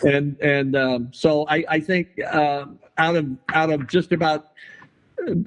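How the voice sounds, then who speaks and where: A man with a Texan accent talks at a fairly slow pace and a fairly high pitch, with long, frequent pauses. His loudness stays very even and his intonation fairly even. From Texas, San Antonio. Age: 70s. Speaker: artist. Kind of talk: interview. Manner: halting, many fillers and repetitions.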